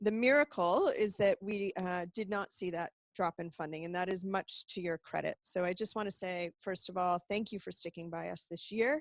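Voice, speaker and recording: With an American accent and an ordinary speaking voice, a woman talks at a moderate pace with medium pitch, ordinary pitch variation and hardly any pauses, the sound dry and close with no echo. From United States. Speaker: executive director of a medical charity. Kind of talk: webinar presentation. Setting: online webinar broadcast.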